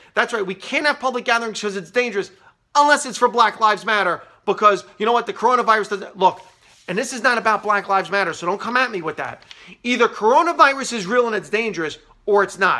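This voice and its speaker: With an American accent, a man speaks in a raised, projected voice at a high pitch and a very fast pace, his tone bright and sharp, his pitch variation ordinary, against a quiet background. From New York City area, US. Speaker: comedian and political commentator. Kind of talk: angry political rant to camera. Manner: biting, bitterly sarcastic escalation; emphatic, repeating points for punch. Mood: frustrated, sarcastic. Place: office. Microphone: phone near.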